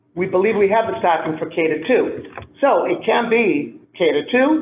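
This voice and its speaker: A man speaks loudly. Echo from the room is audible. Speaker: school administrator. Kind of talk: public meeting discussion.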